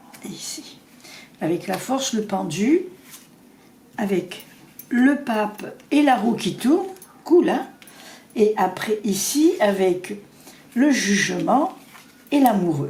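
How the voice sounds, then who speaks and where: Against noticeable background noise, a woman with a fairly high voice speaks very slowly, her pitch swinging very widely between long, frequent pauses. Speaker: psychic tarot reader. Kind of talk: tarot reading.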